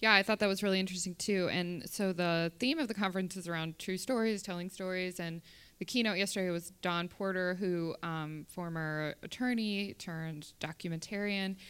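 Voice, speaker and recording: In an ordinary speaking voice, a woman talks at a moderate pace with hardly any pauses, on a very clean recording with a silent background. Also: medium pitch for a woman, fairly even intonation. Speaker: podcast host. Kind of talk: live podcast interview. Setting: live conference recording.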